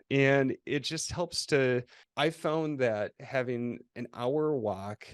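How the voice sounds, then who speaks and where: A man with a Minnesota accent and ordinary pitch variation, in a dry, close sound with no echo and a quiet background. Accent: quasi-Canadian, Minnesota. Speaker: agency co-founder and CEO. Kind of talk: interview. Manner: halting with false starts.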